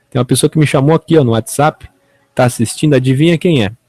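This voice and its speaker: Somewhat breathy, a man's voice moves with ordinary pitch variation. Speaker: online evangelical preacher and show host. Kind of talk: unscripted talk to camera.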